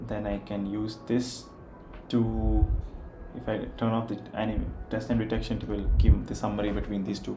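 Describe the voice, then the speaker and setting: With an Indian accent, a man talks at a moderate pace in a room with audible echo. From India, Kerala. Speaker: software developer. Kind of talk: live coding stream. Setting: livestream with background music.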